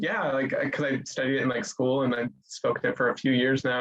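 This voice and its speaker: The speaker talks at a fairly quick pace with an American accent. It's an unremarkable speaking voice. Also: man. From United States. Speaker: study abroad student. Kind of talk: panel discussion. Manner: casual, filler-heavy.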